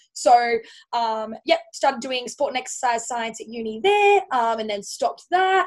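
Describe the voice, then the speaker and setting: A woman with an Australian accent talks at a moderate pace. Her voice is high, with lively intonation. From Australia, Central Coast of New South Wales. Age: 20s. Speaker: personal trainer. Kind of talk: casual interview. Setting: remote call.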